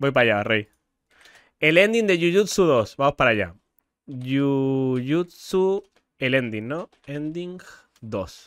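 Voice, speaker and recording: In a dry sound with no echo and a quiet background, a man with a fairly high pitch talks at a very slow pace, making very wide pitch swings and taking long, frequent pauses. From Argentina. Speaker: livestreamer. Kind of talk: livestream chat. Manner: animated, loud. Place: home room. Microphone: studio mic.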